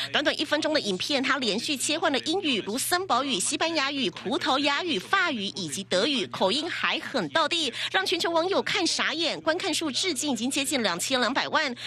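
Over noticeable background noise, a woman with a high pitch projects a raised voice, barely pausing as her pitch swings very widely. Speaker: TV news reporter. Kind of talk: TV news report voiceover.

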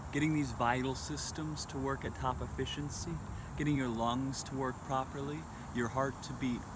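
Here a man talks at a moderate pace. Background noise is noticeable. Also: dry sound with no echo. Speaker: spiritual fitness vlogger. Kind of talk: casual vlog chat. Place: open country. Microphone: phone near.

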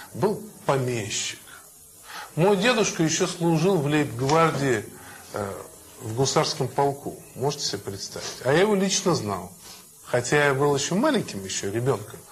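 Amid noticeable background noise, a man speaks at a moderate pace with very wide pitch swings and long, frequent pauses. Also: fairly high pitch for a man. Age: old. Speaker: lecturer on family and marriage. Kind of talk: lecture to young audience. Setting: in front of a young audience, live.

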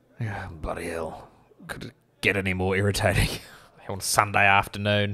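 A man puts on a raspy character voice with a fairly low pitch. His intonation stays flat and monotone at a moderate pace. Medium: actual play. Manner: exasperated, swearing, blunt.

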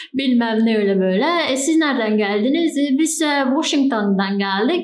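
A woman with a Bulgarian accent speaks at a moderate pace with a fairly high pitch and lively intonation. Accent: Bulgarian Turkish dialect. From Bulgaria, Turkish minority village. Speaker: travel vlogger. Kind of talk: casual talk to camera. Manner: chatty, informal.

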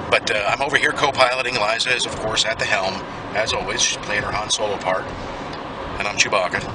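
There is noticeable background noise as a man talks with ordinary pitch variation in a dry sound with no echo. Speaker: travel vlogger. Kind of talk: casual vlog chat. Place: car. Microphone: phone near.

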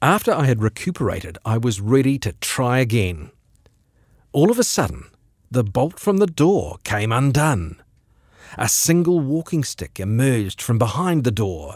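A man talks at a moderate pace with very wide pitch swings. The sound is dry with no echo, against a quiet background. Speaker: radio presenter reading a short story. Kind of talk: short story reading. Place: studio.

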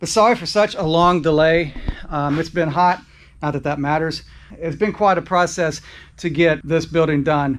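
Moderate pace and fairly even intonation. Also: man. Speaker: motorcycle vlogger. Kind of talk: casual vlog chat. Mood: grateful, emotional. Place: garage. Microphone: phone near.

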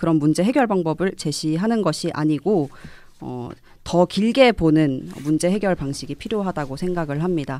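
Delivery is at a moderate pace with lively intonation. The sound is dry with no echo. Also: woman. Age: young. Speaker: young politician, local election candidate; young politician, election candidate. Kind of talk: radio panel discussion. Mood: calm, earnest. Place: studio. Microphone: studio mic.

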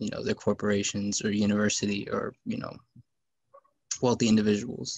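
A man speaks with an American accent. His pitch sits fairly low. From San Antonio, Texas; Texas. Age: 20s. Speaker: city council candidate, student; council candidate. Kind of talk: candidate forum debate; forum debate answer. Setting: video call. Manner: halting, many fillers. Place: home room. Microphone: webcam.

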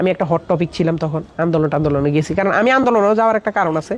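A man speaks with a Noakhali accent. His pitch variation is ordinary. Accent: Noakhali Bengali dialect. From Bangladesh, Noakhali. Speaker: social media video maker. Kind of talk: casual testimony.

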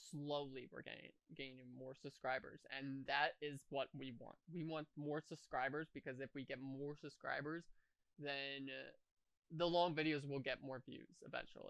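A monotone, flat delivery at a moderate pace, dry with no echo, over a quiet background. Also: man. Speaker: reaction youtuber. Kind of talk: casual vlog chat. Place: home room. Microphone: headset.

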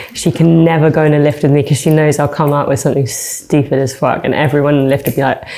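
A woman speaks with very deep, low pitch and fairly even intonation. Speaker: singer. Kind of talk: interview answer. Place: studio.

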